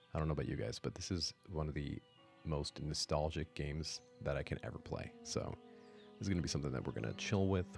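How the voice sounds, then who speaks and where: A very deep, low-pitched man talking at a very fast pace over background music. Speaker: gaming ASMR streamer. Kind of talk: casual talk to camera, gameplay commentary. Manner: soft-spoken, relaxed, whispery.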